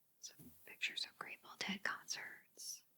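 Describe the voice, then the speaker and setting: Her pace is very slow. The woman speaks in a whisper. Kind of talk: ASMR magazine flip-through. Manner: whispered, soft-spoken.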